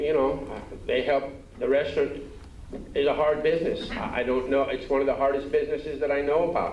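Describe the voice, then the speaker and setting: A man with a fairly high pitch speaks in fairly even intonation, with audible room echo and noticeable background noise. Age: 60s. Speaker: restaurant owner. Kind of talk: pleading testimony at council hearing. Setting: city council chamber.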